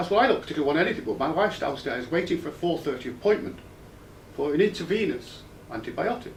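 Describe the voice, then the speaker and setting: The man's speech comes very fast. Room echo is audible around it. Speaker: patient's husband giving feedback. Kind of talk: personal testimony.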